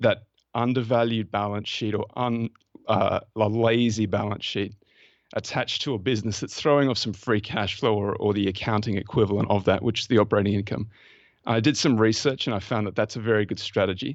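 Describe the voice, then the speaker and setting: A fairly quick pace from a man with an Australian accent, fairly low in pitch and with fairly even intonation. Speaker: investment fund manager. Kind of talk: podcast interview.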